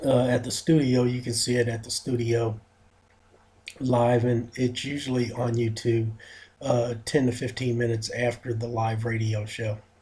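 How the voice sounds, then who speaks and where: A man with a medium pitch has a dark, mellow tone and a somewhat breathy sound. He talks at a moderate pace in a monotone, flat intonation. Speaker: fitness radio show host. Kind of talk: radio talk show monologue. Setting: studio. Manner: halting, many fillers.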